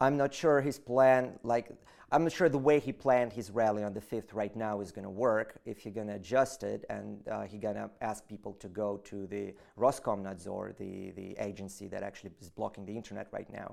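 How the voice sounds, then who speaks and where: A man with a Russian accent speaks in a fairly low pitch with ordinary pitch variation. His loudness swings widely. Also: fairly quick pace. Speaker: political activist. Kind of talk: interview. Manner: halting.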